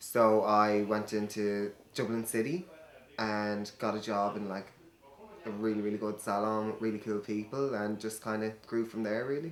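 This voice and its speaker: The voice has an Irish accent. It moves at a moderate pace with fairly even intonation. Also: man, fairly low pitch for a man. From Ireland. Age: 20s. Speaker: hairdresser and drag queen. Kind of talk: interview. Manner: hesitant, many fillers.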